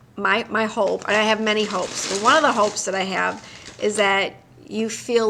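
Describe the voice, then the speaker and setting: A woman speaks at a medium pitch with an American accent. Noticeable background noise can be heard. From Detroit, US Midwest. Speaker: psychologist hosting a live stream. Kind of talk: casual live-stream chat.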